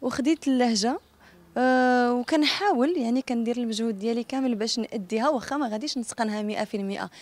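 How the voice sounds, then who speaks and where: In a Casablanca accent, a woman speaks at a high pitch with ordinary pitch variation. Her moderate pace comes through dry sound with no echo. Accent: Moroccan Darija, Casablanca. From Morocco, Casablanca. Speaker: singer and actress; actress. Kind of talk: interview. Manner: casual, spontaneous.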